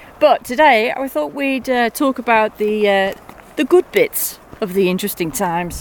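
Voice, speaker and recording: A woman's fairly high voice with very wide pitch swings, dry and close with no echo, amid noticeable background noise. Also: moderate pace. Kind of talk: casual chat. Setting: outdoors, walking on mountain paths.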